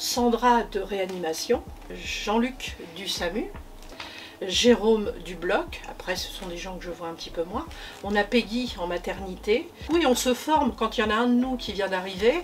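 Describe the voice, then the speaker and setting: A woman talks in a fairly high voice with lively intonation and big swings in loudness. Noticeable background noise is present. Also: fairly slow pace. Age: 60s. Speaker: hospital logistics worker, former nursing assistant. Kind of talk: workplace testimony interview. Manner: hesitant, many fillers.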